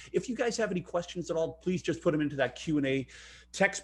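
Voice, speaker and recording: A man talks at a very fast pace with a high pitch. His intonation is lively. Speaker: webinar host. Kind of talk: webinar presentation. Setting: online webinar.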